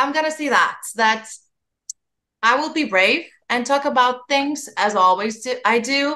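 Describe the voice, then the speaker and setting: A woman speaks in a raised, projected voice with a bright, sharp tone and a high pitch. Her pitch varies in an ordinary way, and she talks at a fairly slow pace. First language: not English. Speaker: podcast host. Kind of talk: podcast interview.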